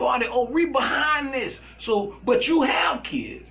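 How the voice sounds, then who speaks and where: An animated man with an American accent talks at an extremely high pitch against noticeable background noise. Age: 40s. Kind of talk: casual chat.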